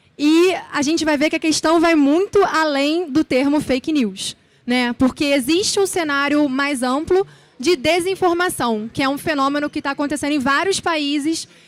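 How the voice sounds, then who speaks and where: Dry and close with no echo, a woman speaks in a Rio de Janeiro accent. Her pitch is high, with ordinary variation, and her pace is moderate. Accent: carioca accent, noticeable. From Brazil, Rio de Janeiro. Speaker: speaker, journalist and lecturer. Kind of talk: conference talk. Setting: stage with audience.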